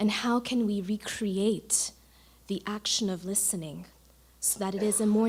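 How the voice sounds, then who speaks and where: A woman talks in an American accent. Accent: American-sounding. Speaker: audience member asking a question. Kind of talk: audience question. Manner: formal.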